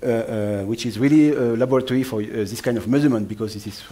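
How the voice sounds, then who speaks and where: A man's medium-pitched voice in a French accent, dark and mellow in tone, with fairly even intonation and audible room echo. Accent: French, noticeable. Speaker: atmospheric scientist. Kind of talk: lecture. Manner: fast; halting, many fillers.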